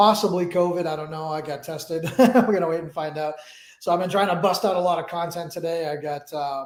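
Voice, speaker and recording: A man speaks fairly quickly at a high pitch, keeping his intonation fairly even. Room echo is audible. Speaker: trading educator. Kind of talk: live stream talk. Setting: live stream. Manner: halting.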